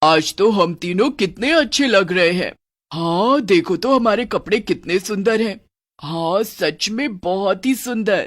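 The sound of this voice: A woman uses a cartoonish character voice at a medium pitch and a fairly slow pace. The recording is very clean, with a silent background.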